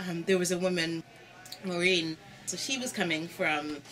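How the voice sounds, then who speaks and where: A fairly slow-paced woman talks while light noise sits in the background. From Canada. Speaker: church community worker. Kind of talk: interview. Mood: reflective, earnest. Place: home room.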